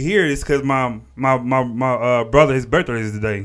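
The man has an American accent and a fairly high voice. His pitch varies in an ordinary way. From Texas, Port Arthur area. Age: 30s. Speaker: podcast host. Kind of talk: casual chat. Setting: studio with camera. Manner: halting, many repetitions.

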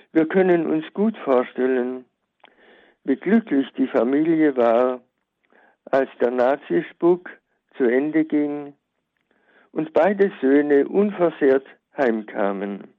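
A man with a fairly high pitch and lively intonation speaks at a very slow pace, leaving long, frequent pauses. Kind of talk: prepared memorial talk. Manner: formal.

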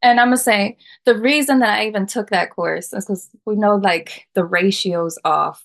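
Her pitch is in the middle range and varies in an ordinary way. This woman has a plain, everyday voice. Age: 30s. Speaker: podcast guest. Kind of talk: casual chat.

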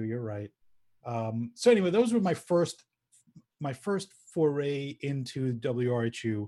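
A man with an American accent speaks at a fairly slow pace, medium in pitch, with ordinary pitch variation. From US Northeast, Long Island. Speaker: former college radio music director. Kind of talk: casual interview. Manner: halting, many fillers.

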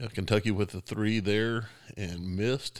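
An unremarkable speaking voice from a man, fairly low in pitch, with fairly even intonation at a fairly slow pace. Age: 40s. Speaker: podcast host. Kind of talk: casual chat.

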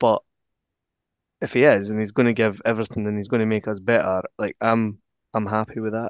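In a Scottish accent, a man with a fairly low pitch speaks at a fairly quick pace in a monotone, flat way with long, frequent pauses, the sound dry and close with no echo against a quiet background. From Scotland. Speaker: football podcast co-host. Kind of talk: casual chat.

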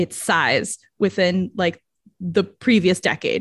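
Somewhat breathy and animated, a woman speaks at a medium pitch in a dry, close recording with no echo. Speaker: podcast host. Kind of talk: casual chat, movie review podcast. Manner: laughs often, animated, chatty.

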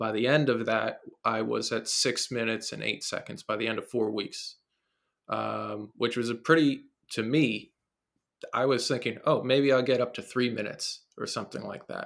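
Moderate pace in a New Jersey accent. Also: man. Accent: New Jersey American. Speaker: fitness trainer and coach. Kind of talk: casual interview conversation. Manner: rambling, filler-heavy.

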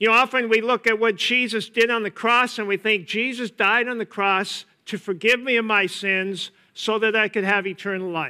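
Speaking with an American accent, a man projects a raised voice at a high pitch, with a bright, sharp tone, fairly even intonation and a moderate pace. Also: very clean recording, silent background. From US Upper Midwest, east-central Minnesota. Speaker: pastor. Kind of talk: sermon.

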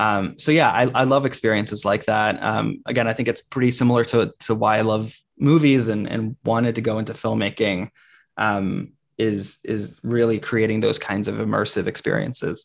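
Vocal fry runs through this man's speech, which keeps a moderate pace and fairly even intonation. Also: medium pitch for a man, quiet background. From grew up in many places, born in Brazil. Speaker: learning design consultant. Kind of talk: interview. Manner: hesitant, many fillers.

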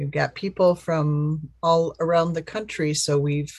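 Here a woman speaks in a somewhat breathy voice. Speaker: call facilitator for advocacy campaign. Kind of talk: group video call discussion. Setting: video call.

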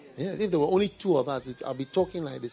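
A man's very fast speech with ordinary pitch variation, music playing in the background. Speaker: pastor. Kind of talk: sermon. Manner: conversational, like talking one-on-one.

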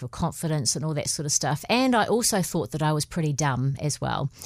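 In a very clean recording with a silent background, a woman with a New Zealand accent speaks very deep and low, her pitch swinging very widely. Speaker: podcast co-host. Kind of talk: casual chat.

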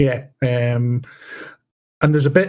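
This man speaks with a Scottish accent at a moderate pace. His intonation is fairly even. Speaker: podcaster and game master. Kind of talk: casual chat. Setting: remote recording during lockdown.

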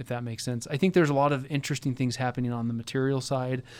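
With an American accent, a man talks in a normal speaking voice at medium pitch and fairly even intonation, on a very clean recording with a silent background. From Buffalo, New York, US. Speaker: product manager and sustainability consultant. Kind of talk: interview conversation. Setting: in person on campus.

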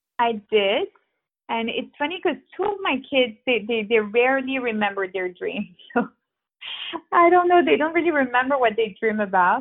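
A high-pitched woman's voice with very wide pitch swings, at a moderate pace. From Geneva, Switzerland. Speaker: art guide and grief advocate. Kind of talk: interview.

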